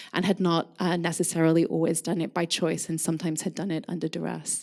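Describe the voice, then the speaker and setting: A woman with a Scottish accent talking very fast, her fairly low voice dark and mellow in tone, on a very clean recording with a silent background. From Scotland, Scottish Borders. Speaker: curator and craft historian. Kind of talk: lecture. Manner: frequent ums and fillers.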